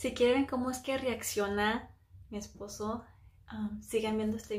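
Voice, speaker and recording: A quiet woman's voice over light background noise. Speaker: beauty vlogger. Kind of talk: makeup tutorial vlog. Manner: speaking quietly; casual, filler-heavy. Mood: playful, chatty. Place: bathroom. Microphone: phone near.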